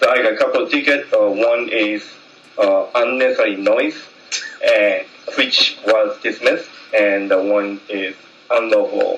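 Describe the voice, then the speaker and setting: Speaking with a Japanese accent, a man talks at a fairly slow pace with long, frequent pauses, amid audible room echo and noticeable background noise. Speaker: jazz trumpet player. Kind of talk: public meeting speech. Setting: community meeting hall. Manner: halting.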